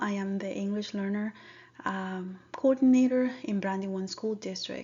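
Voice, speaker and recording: A woman with a Spanish accent, somewhat breathy, at a moderate pace. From Dominican Republic. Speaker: school district language coordinator. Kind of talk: presentation.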